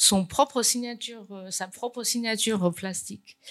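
In a Chinese accent, a woman speaks fairly slowly at a fairly high pitch with ordinary pitch variation. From China. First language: Chinese (speaking French). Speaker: painter. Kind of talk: conference talk. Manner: halting, many repetitions.

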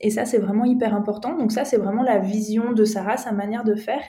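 This woman talks at a moderate pace in a fairly high, somewhat breathy voice with a dark, mellow tone and flat, monotone intonation. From France, Alsace (Strasbourg). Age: 30s. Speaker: entrepreneur, co-founder of a nutrition coaching company. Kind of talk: podcast interview. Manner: hesitant, many fillers.

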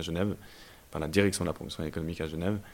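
Here a man is talking. His voice sits very deep and low. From Belgium, Brussels. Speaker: startup founder. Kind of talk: interview. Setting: incubator office.

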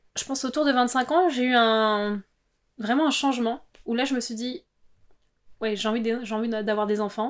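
At a fairly slow pace and with fairly even intonation, a woman with a fairly high pitch is heard on a very clean recording with a silent background. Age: 30s. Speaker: interviewee sharing personal story. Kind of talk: personal testimony.

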